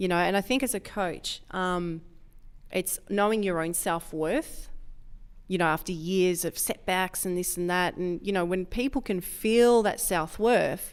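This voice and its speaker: In a very clean recording with a silent background, a woman speaks at a fairly slow pace in a normal speaking voice. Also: medium pitch for a woman, ordinary pitch variation. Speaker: powerlifting coach. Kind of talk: podcast interview.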